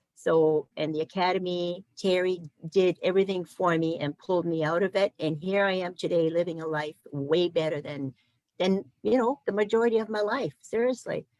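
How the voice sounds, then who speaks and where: A woman with a plain, everyday voice talks at a moderate pace with ordinary pitch variation, the sound dry and close with no echo. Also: fairly low pitch for a woman. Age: 60s. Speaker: program manager and former client. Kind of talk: testimony.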